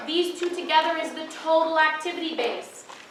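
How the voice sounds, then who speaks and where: Audible room echo surrounds a woman with an extremely high pitch. She keeps a moderate pace. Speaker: tutor leading exam review session. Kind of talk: lecture.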